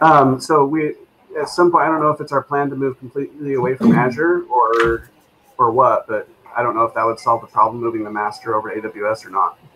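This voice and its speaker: A man at a fairly quick pace with ordinary pitch variation, over light background noise. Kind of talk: meeting discussion. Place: home room. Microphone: headset.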